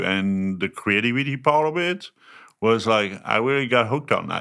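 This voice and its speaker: Lively intonation marks this man's speech, delivered at a moderate pace in a French accent. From France. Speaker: chef. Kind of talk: casual chat.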